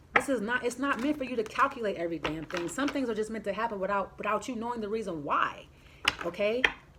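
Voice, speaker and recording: A woman at a very fast pace, animated in tone, with ordinary pitch variation. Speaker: tarot reader. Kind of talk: tarot reading. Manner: halting.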